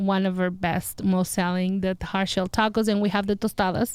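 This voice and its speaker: A woman speaks with a Spanish accent. The recording is very clean, with a silent background and a dry, close sound with no echo. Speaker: restaurant owner. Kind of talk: interview. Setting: studio. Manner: halting.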